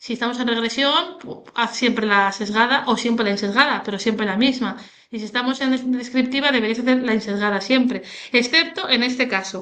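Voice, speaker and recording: Fairly quick and high-pitched, a woman's voice has a bright, sharp tone and ordinary pitch variation. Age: 30s. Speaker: statistics teacher. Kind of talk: tutorial. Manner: animated, casual.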